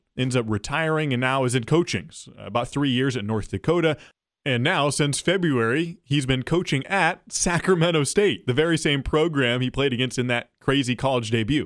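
A man speaks at a moderate pace with a fairly high pitch, using an ordinary speaking voice and ordinary pitch variation. There are hardly any pauses, and the recording is very clean with a silent background. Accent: American. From Oregon (Corvallis). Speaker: sports journalist, podcast host. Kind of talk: casual interview chat; scripted narration.

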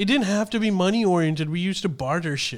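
Over a silent background in a very clean recording, a man speaks with lively intonation. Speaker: podcast host. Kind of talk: casual banter podcast chat.

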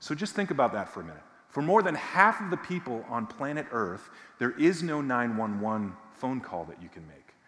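Very wide pitch swings from a man, plus audible room echo. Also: medium pitch for a man, moderate pace, big swings in loudness. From Massachusetts, near Boston. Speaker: visiting preacher from a justice nonprofit. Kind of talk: sermon.

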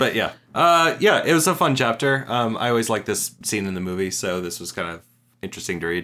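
A man with a bright, sharp tone at medium pitch talks at a fairly quick pace with very wide pitch swings, in a very clean recording with a silent background. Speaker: podcast guest. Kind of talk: casual chat.

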